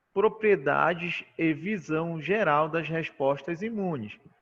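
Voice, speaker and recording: Very slow delivery with ordinary pitch variation. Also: man. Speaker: university lecturer in immunology. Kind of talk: online lecture.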